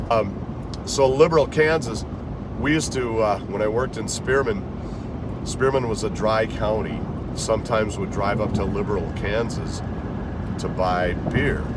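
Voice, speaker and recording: A man talks at a fairly slow pace in a medium pitch for a man, with ordinary pitch variation. Noticeable background noise is present. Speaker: voice artist; former radio disc jockey. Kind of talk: casual storytelling to camera. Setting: in a car.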